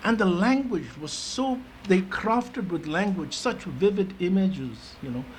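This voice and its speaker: Very wide pitch swings stand out in this recording, which has noticeable background noise and audible room echo. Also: man. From India (Darjeeling, Delhi), Tibetan exile. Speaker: education advisory committee member. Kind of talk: meeting discussion remarks. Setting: conference meeting. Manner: hesitant, many fillers and restarts.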